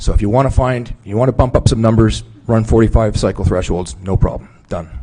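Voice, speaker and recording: Noticeable background noise sits under fairly quick speech with ordinary pitch variation. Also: man, medium pitch for a man. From Newfoundland and Labrador, Canada. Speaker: witness at a public inquiry. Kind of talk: testimony. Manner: fast.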